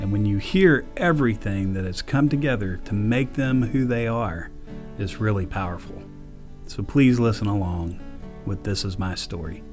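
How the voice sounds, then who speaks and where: A man with a Texan accent, fairly low pitch, lively intonation and a moderate pace, music in the background. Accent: Texan Southern. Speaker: church podcast host. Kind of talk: interview host talk.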